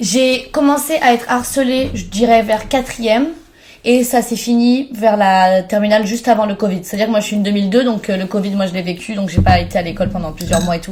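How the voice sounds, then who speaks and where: A woman talks at a fairly quick pace with fairly high pitch. Noticeable background noise is present. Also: ordinary pitch variation. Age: 20s. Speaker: content creator. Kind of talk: podcast interview.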